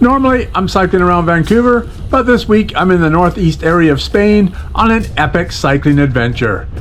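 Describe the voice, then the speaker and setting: A high-pitched man speaks at a moderate pace with very wide pitch swings. His loudness stays very even over noticeable background noise. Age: 60s. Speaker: cycling vlogger. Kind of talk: travel vlog narration.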